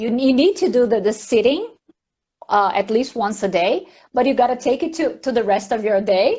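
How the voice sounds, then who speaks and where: With a Portuguese accent, a woman speaks at a moderate pace and a high pitch, her intonation lively and her tone dark and mellow. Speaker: mindfulness teacher. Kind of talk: casual live chat. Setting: live stream.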